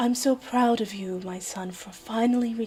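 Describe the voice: Using a put-on character voice, a woman speaks husky and fairly high at a moderate pace with fairly even intonation.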